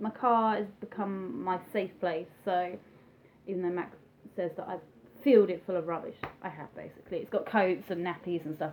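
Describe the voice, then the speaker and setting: A woman with an English accent speaks at a medium pitch. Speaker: vlogger. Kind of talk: personal vlog, testimony. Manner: fast, chatty; hesitant with frequent ums.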